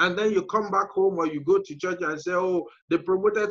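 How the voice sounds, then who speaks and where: Speaking with an African accent, a man moves at a fairly quick pace with ordinary pitch variation. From Nigeria, middle belt. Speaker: entrepreneur. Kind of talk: interview. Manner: frequent fillers and hesitations.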